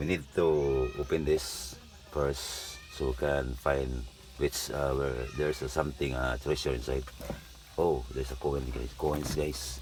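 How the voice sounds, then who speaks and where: A man with a Filipino accent and a very deep, low pitch speaks in a monotone, flat intonation with long, frequent pauses, amid audible room echo and noticeable background noise. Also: fairly slow pace. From Philippines, Visayas. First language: Bisaya (Cebuano). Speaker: upholsterer. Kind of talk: tutorial. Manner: halting.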